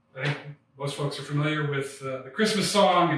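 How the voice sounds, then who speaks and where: An unremarkable speaking voice with lively intonation carries the words. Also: man. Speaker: historic interpreter. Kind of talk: museum talk to camera. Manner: casual, conversational.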